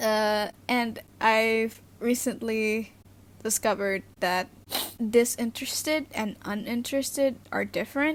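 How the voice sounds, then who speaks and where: A woman with an Indonesian accent speaks at a fairly high pitch and a fairly slow pace, with fairly even intonation. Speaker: youtuber. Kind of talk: casual vlog talk. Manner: halting, many fillers.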